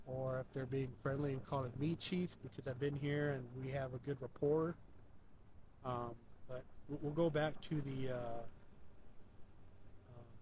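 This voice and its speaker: A man speaks at a medium pitch with monotone, flat intonation and a somewhat breathy sound. His pace is moderate, broken by long, frequent pauses. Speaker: paranormal investigator. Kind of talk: live ghost hunt narration. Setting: outdoors at a cemetery at night. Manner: halting, many fillers; slightly slurred.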